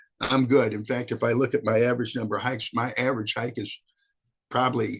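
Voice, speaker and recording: A very fast, somewhat breathy delivery in a flat monotone. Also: man. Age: 70s. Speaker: retired teacher, hiking group co-leader. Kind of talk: testimony. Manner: halting.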